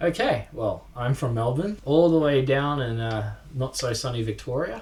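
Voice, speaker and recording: With an Australian accent, a man speaks somewhat breathily at medium pitch and a moderate pace, with ordinary pitch variation. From Australia (North Queensland) and Fiji. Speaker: snowboarding YouTuber and music producer. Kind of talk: casual chat. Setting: home studio.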